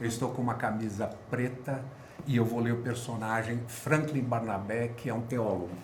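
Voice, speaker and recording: Through audible room echo and noticeable background noise, a man talks at a moderate pace at a medium pitch with fairly even intonation. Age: 60s. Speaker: translator and actor. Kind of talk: self-introduction.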